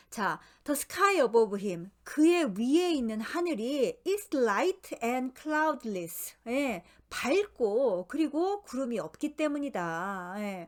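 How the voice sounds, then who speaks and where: Very slowly, a woman speaks in a high pitch with very wide pitch swings. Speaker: tarot book reading lecturer. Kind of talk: lecture.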